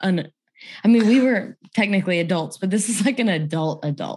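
Medium in pitch and somewhat breathy, a woman's voice carries lively intonation. She talks at a fairly quick pace. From Louisiana. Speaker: author and podcast host. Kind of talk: casual interview.

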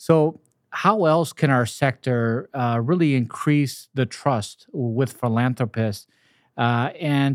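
Here is a plain, everyday voice from a man at a medium pitch with ordinary pitch variation. The recording is very clean, with a silent background. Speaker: podcast host, nonprofit CEO. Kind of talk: interview.

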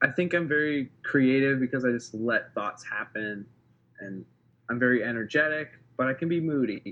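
Lively intonation runs through a plain, everyday voice with an American accent. The pace is moderate. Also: man. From Wisconsin, US Midwest. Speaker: filmmaker and photographer. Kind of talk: casual interview chat.

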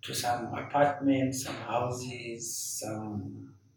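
A man's voice stays monotone and flat while noticeable background noise runs behind it. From Zimbabwe. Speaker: painter. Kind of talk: interview. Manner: halting.

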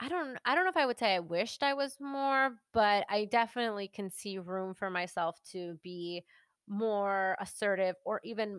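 In a normal speaking voice, a woman talks at medium pitch and a moderate pace with ordinary pitch variation. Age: 30s. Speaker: podcaster and podcast producer. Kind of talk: casual chat.

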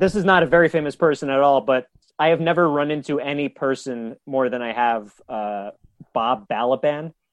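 A normal speaking voice with an American accent, ordinary pitch variation, a moderate pace and a dry, close sound with no echo. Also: man, fairly high pitch for a man. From New York, Westchester County. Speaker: comedian. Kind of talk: casual chat. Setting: remote call from his bedroom.

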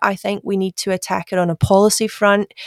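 This woman has a Glasgow accent and medium pitch, speaking at a moderate pace in a very clean recording with a silent background and a dry, close sound with no echo. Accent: Glasgow Scottish. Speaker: government digital executive. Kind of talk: interview.

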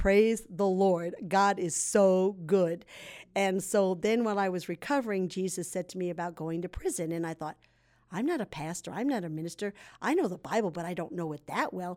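A normal speaking voice at a moderate pace with ordinary pitch variation, in a very clean recording with a silent background. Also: woman, medium pitch for a woman. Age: 60s. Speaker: ex-addict sharing testimony, prison ministry volunteer. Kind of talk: testimony.

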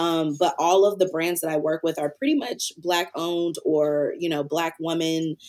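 The speaker has an American accent and hardly any pauses. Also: woman. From US South, Antioch near Nashville, Tennessee. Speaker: creative agency founder and farmer. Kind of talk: casual interview. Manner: hesitant with fillers.

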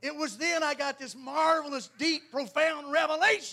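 A man with a Southern US accent speaks at a moderate pace in an extremely high pitch, his raised, projected voice bright and sharp in tone. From US South, North Carolina. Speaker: Pentecostal preacher. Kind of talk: sermon. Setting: church. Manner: animated.

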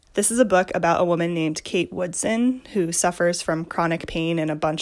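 A woman with a normal speaking voice, fairly low in pitch, with ordinary pitch variation. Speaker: listener contributor. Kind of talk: recorded message recommending a book.

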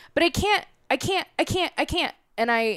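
The voice has an animated tone, very wide pitch swings and a moderate pace. The sound is dry and close with no echo, on a very clean recording with a silent background. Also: woman. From US Midwest, Chicago. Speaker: spiritual empowerment coach. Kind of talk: casual podcast interview.

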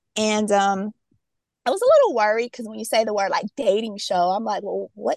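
At a fairly quick pace, a woman speaks with a dry, close sound that carries no echo. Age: 40s. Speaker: reality TV cast member. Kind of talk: casual interview chat. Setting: outdoors walking, remote call.

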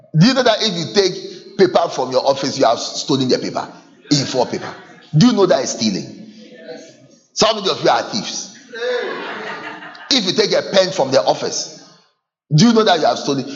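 With a Ghanaian accent, a man speaks at a moderate pace and high pitch, his animated tone sweeping through very wide pitch swings amid audible room echo. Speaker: pastor. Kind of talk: sermon. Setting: church with congregation.

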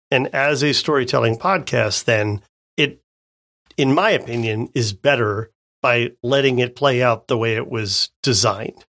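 Bright and sharp in tone, a man talks fairly slowly with ordinary pitch variation in a dry, close recording with no echo. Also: medium pitch for a man. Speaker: podcast co-host. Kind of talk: casual podcast chat. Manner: slow talker.

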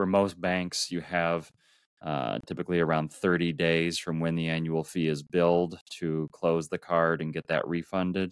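A man with a very deep, low pitch is heard in a very clean recording with a silent background and a dry, close sound with no echo. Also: moderate pace. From US Midwest, Minneapolis, Minnesota. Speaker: world traveler. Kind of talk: interview. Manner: halting, frequent repeated words.

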